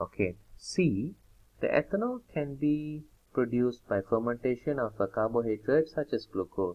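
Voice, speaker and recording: Lively intonation runs through this man's speech. He has an ordinary speaking voice. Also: medium pitch for a man, moderate pace. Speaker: chemistry tutor. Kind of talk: tutorial.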